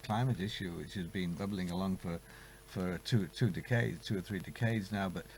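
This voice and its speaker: A man with a British accent, talking at a fairly quick pace. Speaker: climate policy expert. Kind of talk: studio interview. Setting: studio. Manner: halting, many repetitions.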